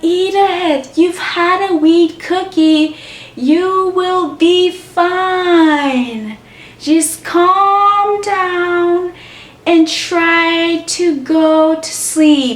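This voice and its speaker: Using a put-on character voice at an extremely high pitch, a woman speaks very slowly over light background noise. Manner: very slow, drawn-out.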